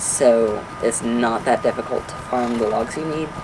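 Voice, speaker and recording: A man's speech comes through noticeable background noise. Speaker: gaming video creator. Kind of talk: gameplay tutorial. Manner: stuttering, hyper.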